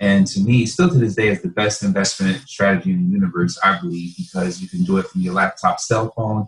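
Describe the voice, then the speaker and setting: A man's somewhat breathy, fairly low voice with an American accent, a fairly quick pace and very wide pitch swings. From northern New Jersey. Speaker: real estate investor. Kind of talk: interview.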